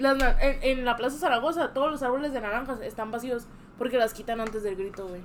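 A woman speaks at a fairly quick pace in a high-pitched voice. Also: ordinary pitch variation. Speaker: podcast co-host. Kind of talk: casual chat.

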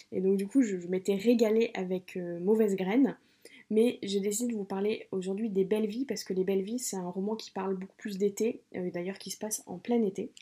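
This woman talks at a fairly quick pace and a medium pitch, with a dark, mellow tone. Her intonation stays fairly even while her loudness swings widely. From Paris region, France. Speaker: book podcaster. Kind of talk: book review monologue. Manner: hesitant, with many fillers.

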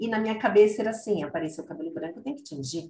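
Somewhat breathy, a woman's voice sits at medium pitch and swings very widely in pitch. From Brazil, Guarulhos (São Paulo). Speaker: psychologist and consultant. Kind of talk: casual chat.

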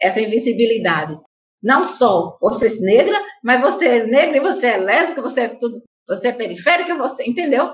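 A woman's high voice moves at a moderate pace with very wide pitch swings. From Paraíba, Brazil (Santa Rita). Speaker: activist and teacher. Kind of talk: interview.

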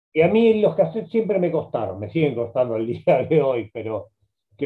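A man's pitch swings very widely. He keeps a moderate pace. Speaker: journalist and biographer. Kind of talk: interview.

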